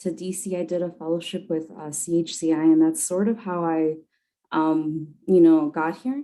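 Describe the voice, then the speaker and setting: Dark and mellow, a woman's fairly low voice moves at a moderate pace. Her intonation stays fairly even. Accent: American. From Chicago, Pilsen/Little Village. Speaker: congressional staffer. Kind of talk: interview.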